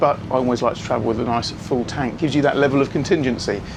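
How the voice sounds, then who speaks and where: Noticeable background noise behind a man's fairly quick delivery. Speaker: boat broker and vlogger. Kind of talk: casual vlog narration. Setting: on a boat.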